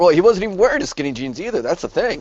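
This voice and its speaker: This man's voice has vocal fry. It is heard throughout his speech. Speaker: wrestling podcast panelist. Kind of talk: casual chat.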